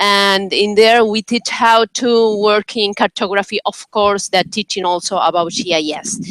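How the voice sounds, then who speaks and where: A woman with a Spanish accent speaks at a fairly slow pace with fairly even intonation. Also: medium pitch for a woman, hardly any pauses. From Uruguay. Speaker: professor. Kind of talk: self-introduction in online meeting. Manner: halting.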